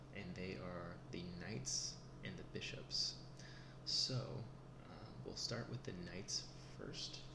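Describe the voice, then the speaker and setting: A soft-spoken man talks at a very slow pace with long, frequent pauses, his pitch very deep and low. His pitch swings very widely, and noticeable background noise is present. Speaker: chess teacher in role play. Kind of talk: ASMR role play tutorial.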